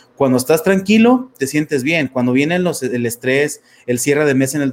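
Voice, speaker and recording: Here a man talks at a fairly quick pace with a fairly high pitch. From Mexico, Torreón, Coahuila. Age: 30s. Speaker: life coach. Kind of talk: interview testimony. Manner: halting, many fillers.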